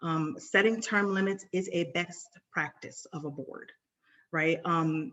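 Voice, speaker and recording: Very slowly, a woman with an American accent speaks in a fairly low pitch. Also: ordinary pitch variation. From New York City. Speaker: nonprofit board trainer. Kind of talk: webinar presentation.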